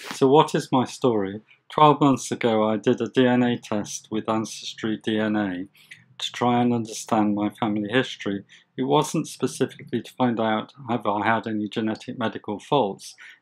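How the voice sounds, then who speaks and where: This man has a plain, everyday voice, medium pitch, ordinary pitch variation and a moderate pace. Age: 60s. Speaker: health video presenter with hemochromatosis. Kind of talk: scripted narration.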